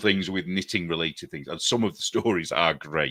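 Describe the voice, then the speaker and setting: In a northern English accent, a man with a very deep, low pitch speaks in a bright, sharp tone with lively intonation. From northern England. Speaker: artist and knitting show co-host. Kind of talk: casual chat.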